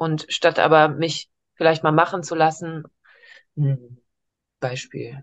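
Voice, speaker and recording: A woman speaks very slowly in a very deep, low pitch, with long, frequent pauses. Her intonation is monotone and flat. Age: 30s. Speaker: coaching client. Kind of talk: coaching session. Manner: halting, many fillers.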